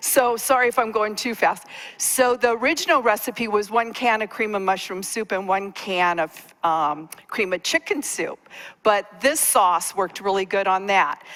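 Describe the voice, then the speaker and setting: A woman speaks at a moderate pace in a fairly high pitch, with ordinary pitch variation. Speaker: cooking class presenter. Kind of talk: cooking demonstration. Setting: stage with audience.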